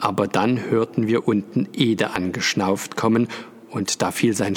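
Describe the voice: The text is read aloud plainly, its intonation fairly level.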